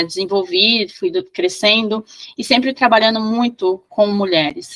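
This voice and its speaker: The sound is dry and close with no echo as a woman speaks with ordinary pitch variation. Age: 40s. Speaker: priestess of an esoteric order. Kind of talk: interview. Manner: halting, many fillers.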